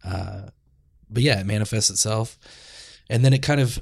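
In a very clean recording with a silent background, a man with an American accent speaks in a gravelly, somewhat breathy voice with ordinary pitch variation. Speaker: podcast host. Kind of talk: casual chat.

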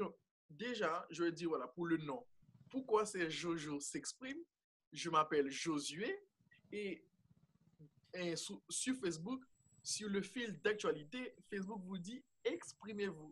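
This man's high-pitched voice is broken up by long, frequent pauses. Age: 20s. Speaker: student and youth project founder. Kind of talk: interview.

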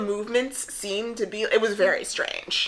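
Against noticeable background noise, a woman talks at a fairly high pitch and a moderate pace. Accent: American. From New Jersey. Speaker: podcast co-host. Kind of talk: casual chat.

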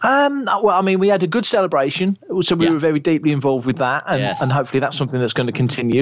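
Speaking at a very fast pace in a British accent, a man shows ordinary pitch variation. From UK. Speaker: Star Wars podcaster, co-host. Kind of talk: casual chat. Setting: remote audio call from home.

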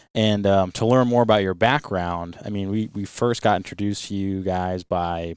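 An ordinary speaking voice with an American accent, fairly even intonation and a moderate pace. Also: man. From US Northeast, Rhode Island. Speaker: podcast host, boat captain. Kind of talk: casual interview chat.

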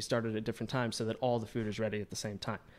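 Pitched in the medium range, a man talks with an American accent. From US South, Georgia. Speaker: print shop owner. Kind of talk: casual chat.

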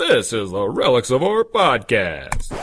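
A man speaks fairly slowly in a put-on character voice. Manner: smooth, polished broadcast voice.

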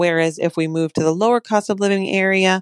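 A woman talks at a moderate pace with a fairly low pitch, the sound dry and close with no echo. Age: 40s. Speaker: listener asking a question. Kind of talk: recorded voicemail question.

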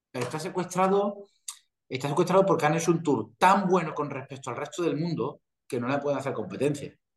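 A somewhat breathy male voice with a Castilian accent. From Spain. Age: 40s. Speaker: professional golfer. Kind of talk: interview.

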